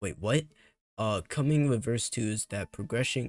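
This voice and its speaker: A man speaks quietly with ordinary pitch variation. The sound is dry and close with no echo, and music plays in the background. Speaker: gaming youtuber. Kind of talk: casual commentary reading patch notes.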